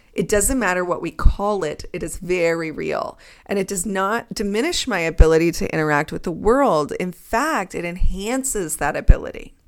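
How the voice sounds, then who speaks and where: A woman with a normal speaking voice talks at a medium pitch and a moderate pace, with lively intonation and hardly any pauses. The recording is very clean and the background silent. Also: big swings in loudness. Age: 30s. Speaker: psychology professor and podcaster. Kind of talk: solo monologue.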